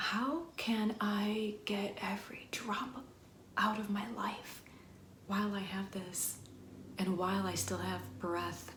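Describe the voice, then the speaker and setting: A woman talks at a very slow pace in a gentle, warm tone over noticeable background noise. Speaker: wellness and ASMR video creator. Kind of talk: ASMR-style soft-spoken talk to camera. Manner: gentle, warm, slow, reassuring.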